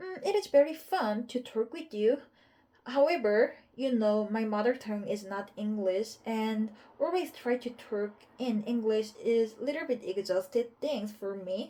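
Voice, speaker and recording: A woman talks fairly slowly in a dark, mellow tone. Her pitch is fairly high. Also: ordinary pitch variation. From South Korea. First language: Korean. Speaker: English learner. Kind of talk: casual chat. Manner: halting.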